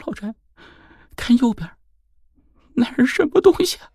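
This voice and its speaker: A put-on character voice, shaky, with very wide pitch swings, big swings in loudness, a moderate pace, and a dry, close sound with no echo. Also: man, extremely high pitch for a man. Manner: fearful, questioning.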